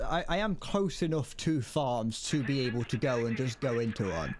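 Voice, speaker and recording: Speaking with an English Midlands accent, a man makes very wide pitch swings on a very clean recording with a silent background. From England, Midlands. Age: 20s. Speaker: gaming streamer. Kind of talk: casual live-stream chat. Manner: halting, many false starts and repetitions; slurs words.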